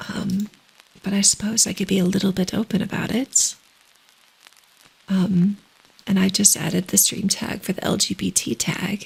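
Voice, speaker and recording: Amid noticeable background noise, a soft-spoken woman of medium pitch talks at a moderate pace in a monotone, flat way, with long, frequent pauses. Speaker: ASMR streamer. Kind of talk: ASMR soft talking livestream.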